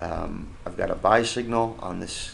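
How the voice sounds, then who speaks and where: There is audible room echo as a man speaks. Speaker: stock market commentator. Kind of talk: screen-share market analysis tutorial. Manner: fast; hesitant, many fillers.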